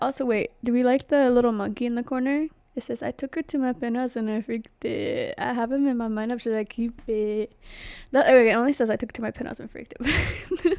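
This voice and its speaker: Quietly and at a fairly quick pace, a woman with a high voice talks in fairly even intonation on a very clean recording with a silent background. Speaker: vlogger. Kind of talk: casual monologue, ASMR-ish. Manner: quiet, close-mic delivery. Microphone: very close to the mic, possible peaking.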